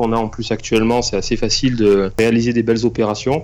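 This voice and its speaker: A man's voice at a medium pitch. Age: 40s. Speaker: banker and property investor. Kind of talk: interview. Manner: hesitant, many fillers.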